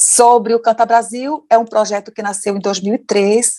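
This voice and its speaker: The sound of this woman's voice is dry and close, with no echo. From Brazil. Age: 60s. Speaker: educator and activist. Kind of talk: interview. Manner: animated.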